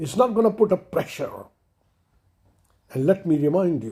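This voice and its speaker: Somewhat breathy and dark, mellow in tone, a man speaks at a fairly slow pace with lively intonation. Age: 70s. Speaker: commentator, retired financial controller. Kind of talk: impassioned monologue. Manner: emotional, impassioned.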